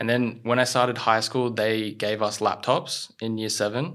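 Speaking with an Australian accent at a moderate pace, a man has a medium pitch and fairly even intonation on a very clean recording with a silent background. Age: 20s. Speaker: content creator. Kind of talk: casual chat.

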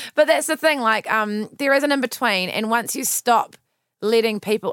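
A fairly high-pitched woman with a New Zealand accent, at a fairly quick pace with ordinary pitch variation, in a very clean recording with a silent background. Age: 20s. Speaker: podcast host. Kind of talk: casual interview.

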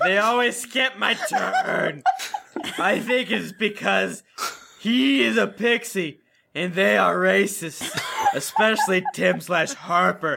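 A man uses a put-on character voice, high-pitched with a bright, sharp tone and vocal fry. He speaks slowly, and his pitch swings widely.

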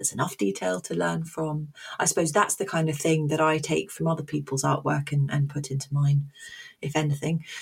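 The voice is somewhat breathy, with a southern English accent. It moves at a fairly quick pace with ordinary pitch variation. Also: woman, very deep, low pitch for a woman. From London, England. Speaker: teacher and comic artist. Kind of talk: interview conversation. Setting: remote call.

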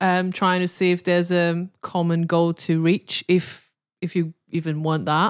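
Speaking at a fairly slow pace, a woman with a fairly low pitch keeps a monotone, flat intonation, captured in a very clean recording with a silent background and a dry, close sound with no echo. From China. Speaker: podcast guest giving advice. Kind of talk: casual chat. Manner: halting, with many fillers.

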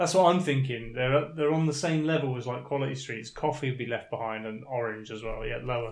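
A man with a British accent talks at a medium pitch and a fairly quick pace, barely pausing. His pitch moves in an ordinary way. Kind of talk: casual chat.

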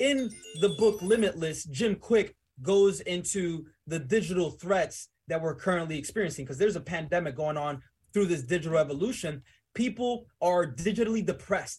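A man speaks at a moderate pace in a high voice. The recording is very clean, with a silent background. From Dominican Republic, raised in New Jersey and the Bronx. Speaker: entrepreneur. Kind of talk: casual interview. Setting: studio.

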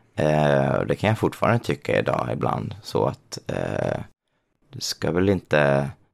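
Vocal fry with very wide pitch swings. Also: man, very deep, low pitch for a man, fairly slow pace. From Småland, Sweden. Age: 30s. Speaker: drag queen and designer. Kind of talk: interview.

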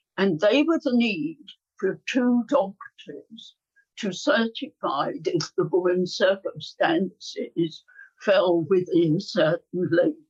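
A woman speaks very slowly at a medium pitch, her voice somewhat breathy and swinging very widely in pitch, with a dry, close sound and no echo. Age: 90s. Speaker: abortion rights campaigner. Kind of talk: interview. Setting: remote call.

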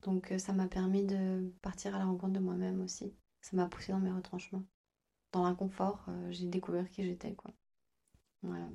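A woman speaks at a medium pitch in a dark, mellow tone, her flat, monotone delivery broken by long, frequent pauses. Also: moderate pace. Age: 30s. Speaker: nail technician. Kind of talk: interview.

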